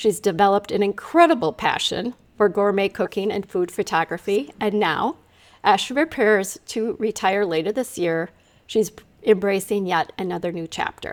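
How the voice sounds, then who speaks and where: In an ordinary speaking voice, a woman talks at a moderate pace with medium pitch and lively intonation. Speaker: podcast host and brain fitness coach. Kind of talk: podcast interview intro.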